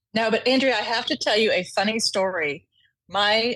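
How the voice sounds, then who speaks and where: A woman with an Oklahoma accent talks at a moderate pace. The recording is very clean, with a silent background. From Oklahoma, US. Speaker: corporate legal executive. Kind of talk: interview.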